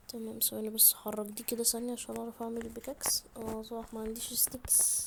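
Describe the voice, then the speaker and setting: A woman with an Egyptian accent talks quietly at a fairly quick pace. Her pitch is fairly high, and there is noticeable background noise. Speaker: gaming YouTuber. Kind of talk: gameplay commentary. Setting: at home. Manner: quiet, subdued; animated, exclamatory.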